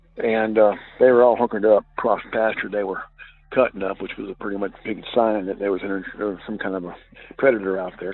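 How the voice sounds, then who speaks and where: A man with a Southern US accent and a fairly low pitch. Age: 60s. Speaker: caller. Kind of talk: testimony. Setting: phone call. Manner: halting.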